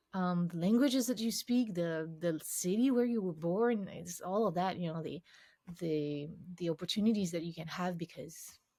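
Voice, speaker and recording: A woman with a slight French accent speaks at a moderate pace, her pitch fairly low with ordinary variation. Her tone is dark and mellow, and somewhat breathy. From France, Paris. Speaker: cognitive scientist, game UX expert. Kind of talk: interview conversation. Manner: halting with many false starts.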